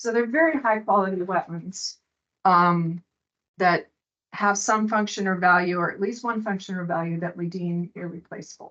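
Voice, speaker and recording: Her pitch medium and its variation ordinary, a woman speaks at a fairly slow pace. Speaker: state wetlands ecologist. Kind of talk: presentation.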